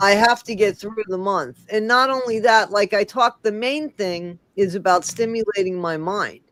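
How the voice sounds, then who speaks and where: A woman at medium pitch, an ordinary speaking voice, with ordinary pitch variation, moderate pace and hardly any pauses. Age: 60s. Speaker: livestream host. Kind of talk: casual chat.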